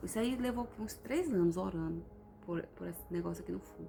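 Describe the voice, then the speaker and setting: The voice is soft-spoken and moves at a moderate pace. Music plays in the background, and room echo is audible. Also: woman. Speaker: vlogger. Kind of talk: casual vlog testimony.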